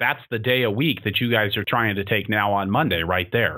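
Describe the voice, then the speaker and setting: The tone is bright and sharp, and the pace is fairly quick. The recording is very clean, with a silent background. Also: man. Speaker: podcast host and farmer. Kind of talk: interview.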